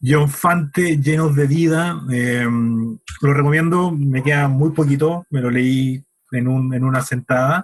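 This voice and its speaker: A man speaks at a very slow pace with a fairly high pitch and fairly even intonation. His voice is somewhat breathy, with very even loudness. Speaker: podcast co-host. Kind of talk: casual chat about books.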